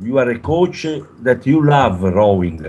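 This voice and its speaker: A man speaks at a medium pitch with an Italian accent. His intonation is lively. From Italy. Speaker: rowing coach. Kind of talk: interview. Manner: halting.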